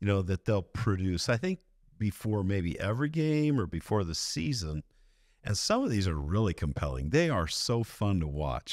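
Speaking at a fairly slow pace, a man with a fairly low pitch makes very wide pitch swings on a very clean recording with a silent background and a dry, close sound with no echo. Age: old. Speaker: podcast host. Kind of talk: interview.

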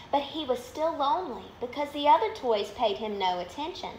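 With an American accent, a woman speaks in a warm, gentle tone with very wide pitch swings, audible room echo and light background noise. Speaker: minor league baseball team media relations manager reading stories. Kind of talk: bedtime story reading aloud to children, live online. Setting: live video on social media, at home. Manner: warm, gentle, animated storyteller pace; friendly, upbeat. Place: home room. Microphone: phone near.

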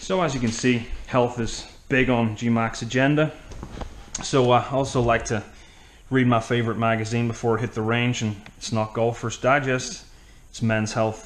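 A man's fairly even intonation at a moderate pace, with long, frequent pauses. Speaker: comic golfer persona. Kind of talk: casual vlog chat. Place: home room. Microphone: phone near.

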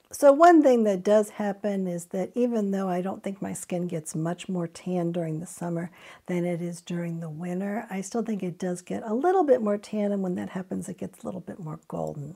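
A woman's dark, mellow voice with big swings in loudness, ordinary pitch variation, hardly any pauses, and a quiet background. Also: medium pitch for a woman, moderate pace. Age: 50s. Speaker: beauty product reviewer. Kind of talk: product review tutorial. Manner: hesitant with frequent uh fillers.

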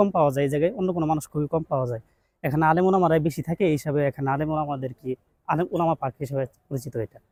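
His voice is fairly high-pitched for a man, with a dark, mellow tone, ordinary pitch variation and a dry, close sound with no echo. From Chittagong, Bangladesh. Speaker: madrasa student. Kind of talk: street interview.

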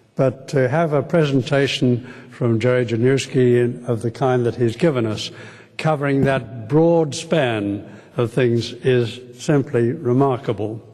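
In an Australian accent, a man speaks at a fairly slow pace with very even loudness and fairly even intonation. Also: medium pitch for a man. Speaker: retired medical professor. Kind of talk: formal vote of thanks speech. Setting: stage with live audience. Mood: warm, smiling, appreciative. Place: hall. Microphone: podium.

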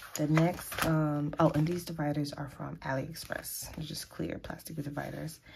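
A woman's very deep, low voice at a moderate pace, monotone and flat, over noticeable background noise. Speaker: planner vlogger. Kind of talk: casual talk to camera. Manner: hesitant, many filler ums. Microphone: phone near.

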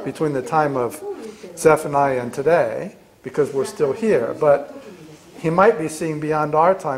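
A man at a moderate pace, ordinary pitch variation, noticeable background noise behind him. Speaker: Bible study teacher. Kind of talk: lecture. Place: classroom. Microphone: camera far.

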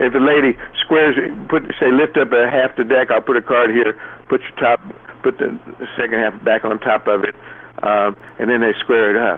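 Someone with a Southern US accent talks at a moderate pace, with long, frequent pauses and noticeable background noise. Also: man. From US South. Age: 60s. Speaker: magician. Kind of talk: casual interview.

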